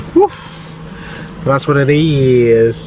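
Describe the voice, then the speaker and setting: A man in a British accent, ordinary pitch variation, noticeable background noise. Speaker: vlogger. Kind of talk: casual vlog talk. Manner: fast.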